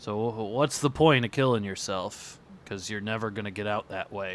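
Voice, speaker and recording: A raspy put-on character voice from a man, fairly low in pitch, at a moderate pace. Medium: actual play. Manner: hesitant, stammering.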